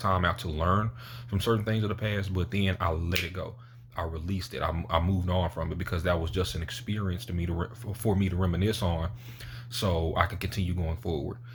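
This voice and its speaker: With a very deep, low pitch and a somewhat breathy sound, a man speaks at a fairly quick pace with ordinary pitch variation. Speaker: motivational YouTuber. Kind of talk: motivational talk to camera. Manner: casual, conversational.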